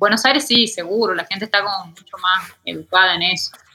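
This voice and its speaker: Her voice is a plain, everyday voice. This woman speaks at medium pitch with fairly even intonation. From Argentina, Tucumán. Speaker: illustrator and painter. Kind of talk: interview conversation.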